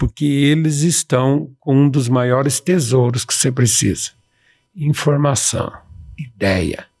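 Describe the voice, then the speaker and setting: A man's somewhat breathy voice at medium pitch, with ordinary pitch variation and a very slow pace. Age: 60s. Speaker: professor and speaker. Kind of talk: podcast interview. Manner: animated.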